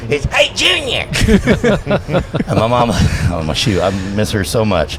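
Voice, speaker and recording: With music playing behind, the intonation stays lively. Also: man. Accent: American. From Louisiana. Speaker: announcer and radio host. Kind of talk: casual chat. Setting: live event podcast recording. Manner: smooth flowing cadence; animated.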